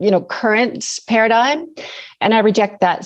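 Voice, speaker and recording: Here a woman speaks at a fairly quick pace. Her pitch is fairly high. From Canada. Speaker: naturopathic doctor. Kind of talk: interview.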